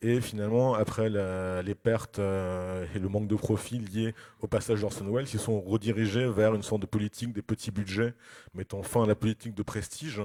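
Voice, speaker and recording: A man speaks with a dark, mellow tone at a fairly low pitch, his intonation monotone and flat. The recording is dry and close with no echo, very clean with a silent background. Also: moderate pace. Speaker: film critic and lecturer. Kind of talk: lecture. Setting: festival conference with audience. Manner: hesitant, many fillers.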